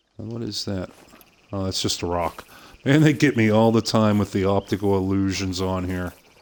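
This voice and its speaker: A man speaks in a relaxed tone with a Pittsburgh accent. His pitch is fairly low and his pace moderate. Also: ordinary pitch variation. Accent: Pittsburgh accent, still present. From western Pennsylvania, outside Pittsburgh. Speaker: gaming streamer. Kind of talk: live game stream commentary. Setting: live stream from home. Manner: relaxed, with frequent fillers.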